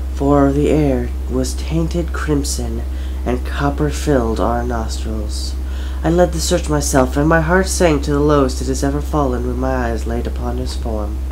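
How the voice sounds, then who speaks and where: Noticeable background noise sits under the speech. The delivery is monotone and flat, at a moderate pace. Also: man, very deep, low pitch for a man. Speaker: amateur voice actor. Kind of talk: reading aloud.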